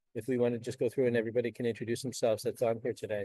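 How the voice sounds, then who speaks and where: A man with an American accent and a dark, mellow tone in a dry, close sound with no echo. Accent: Boston accent, comes out at times. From Boston area, Massachusetts. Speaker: forum host, entrepreneur. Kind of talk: casual chat.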